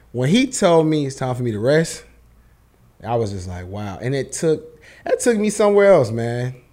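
Dark and mellow in tone, this man's medium-pitched voice shows big swings in loudness and very wide pitch swings. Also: moderate pace. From Charlotte, North Carolina, US South. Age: 30s. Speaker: clothing brand owner. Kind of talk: casual interview chat.

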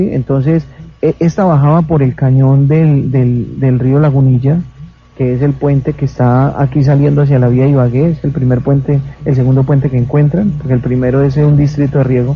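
With fairly even intonation and a fairly high pitch, this male speaker uses an ordinary speaking voice at a moderate pace. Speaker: mayor and tragedy survivor. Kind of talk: on-site interview, guided tour. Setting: outdoors at night in the rain.

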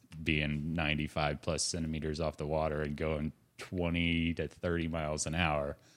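A man with an American accent speaks at a moderate pace. His very deep, low voice stays in a flat monotone. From Indiana. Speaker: wing foiling instructor. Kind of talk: casual chat.

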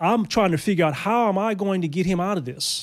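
A man speaks in an American accent, his intonation lively. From Los Angeles. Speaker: former prisoner. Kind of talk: testimony. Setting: studio.

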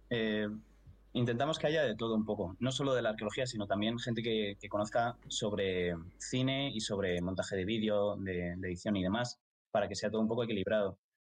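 A fairly quick delivery with ordinary pitch variation. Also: man, fairly low pitch for a man. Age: 20s. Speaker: archaeology student. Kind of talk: casual chat.

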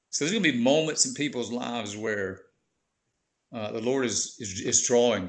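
This man talks at a moderate pace with a medium pitch. He has a Southern US accent. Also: ordinary pitch variation. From US South, Georgia (Warner Robins). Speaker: pastor. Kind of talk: testimony.

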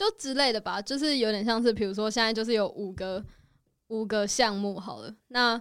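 Here is a woman with a plain, everyday voice, fairly high in pitch and with ordinary pitch variation. She talks at a fairly quick pace in a very clean recording with a silent background. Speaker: host's friend. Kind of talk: casual chat.

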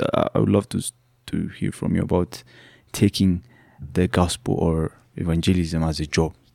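A man with an Ethiopian accent, very deep and low in pitch, dark and mellow in tone, at a moderate pace with long, frequent pauses, in a dry, close sound with no echo. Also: ordinary pitch variation, very clean recording, silent background. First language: Amharic. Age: young. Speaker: podcast host. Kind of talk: interview. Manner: warm, appreciative.

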